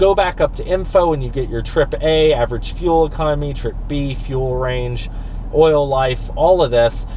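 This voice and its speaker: A man talks at a moderate pace. Audible room echo and noticeable background noise surround his voice. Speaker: car reviewer. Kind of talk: car review while driving. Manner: animated.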